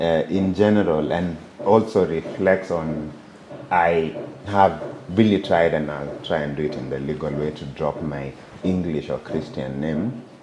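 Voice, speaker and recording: A man speaks at a fairly slow pace in a very deep, low pitch. His pitch variation is ordinary. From Kenya, Bomet (Kalenjin tea region). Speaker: software engineer. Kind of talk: interview conversation.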